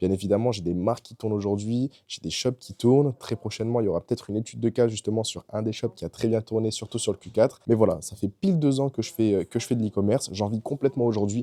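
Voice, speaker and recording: Talking at a very fast pace with hardly any pauses, a man has a dark, mellow tone and ordinary pitch variation, in a dry, close sound with no echo. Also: medium pitch for a man. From France, Bordeaux. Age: 20s. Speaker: e-commerce entrepreneur and coach. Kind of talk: personal story monologue to camera. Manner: casual, with fillers and repetitions.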